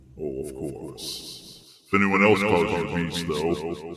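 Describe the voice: Putting on a menacing, theatrical character voice, a man speaks very slowly at a very deep, low pitch, with ordinary pitch variation, big swings in loudness and an audible echo.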